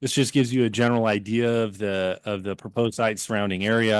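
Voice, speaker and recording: The man's intonation stays fairly even. He talks at a very fast pace. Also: quiet background. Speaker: attorney presenting for an applicant. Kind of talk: formal presentation at a public hearing. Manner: loud; hesitant, many fillers.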